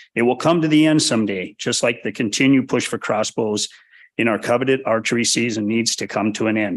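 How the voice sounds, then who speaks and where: Over a quiet background, a man with an unremarkable speaking voice talks at a medium pitch with ordinary pitch variation. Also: fairly quick pace. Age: 60s. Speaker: public commenter, bow hunter. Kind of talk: public comment at hearing. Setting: public meeting.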